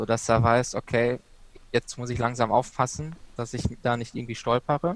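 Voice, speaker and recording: Moderate pace, long, frequent pauses and fairly even intonation from a man at medium pitch, with a dry, close sound and no echo. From Ruhr area, Germany (Bochum). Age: 20s. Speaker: student and freelance author. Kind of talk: podcast interview.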